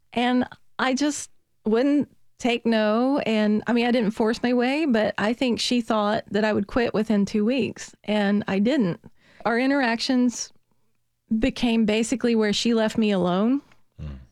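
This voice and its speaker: A woman speaks at a fairly high pitch and a fairly slow pace, with fairly even intonation. The recording is very clean with a silent background, and the sound is dry and close with no echo. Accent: Southern US. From US South, Virginia. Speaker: biology professor. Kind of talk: interview.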